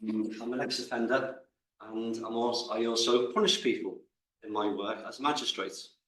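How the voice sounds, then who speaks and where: Medium-pitched male speech at a moderate pace, with audible room echo. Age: 60s. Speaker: audience member asking a question. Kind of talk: audience question at a lecture. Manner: halting.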